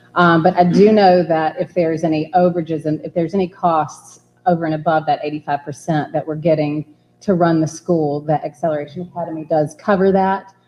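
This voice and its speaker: Woman with a fairly low pitch, fairly even intonation and a fairly quick pace. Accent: Georgia. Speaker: charter school applicant representative. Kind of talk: board meeting Q&A.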